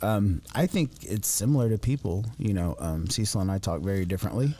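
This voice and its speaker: With an Appalachian accent, a man of fairly low pitch talks at a fairly quick pace, his tone dark and mellow and his intonation lively. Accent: Appalachian ridge runner speech. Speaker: podcast co-host. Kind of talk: casual chat. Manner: halting, many fillers.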